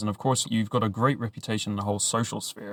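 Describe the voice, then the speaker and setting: With a British accent, a man talks at a very fast pace in a fairly low pitch, the sound dry and close with no echo. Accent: British, mistaken for Australian. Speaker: podcast host. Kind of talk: podcast interview.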